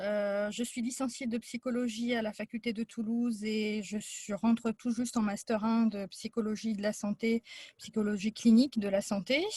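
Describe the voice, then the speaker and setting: At a moderate pace, a woman with a fairly high pitch and a dark, mellow tone speaks somewhat breathily in a monotone, flat intonation, with a dry, close sound and no echo. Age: 40s. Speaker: psychology student, former nurse. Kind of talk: casual presentation. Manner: hesitant, many fillers.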